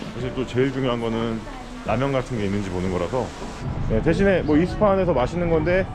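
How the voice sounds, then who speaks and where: A man with a medium pitch talks at a fairly quick pace, his pitch swinging very widely. Music plays in the background, and room echo is audible. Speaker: travel vlogger. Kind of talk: casual travel vlog chat.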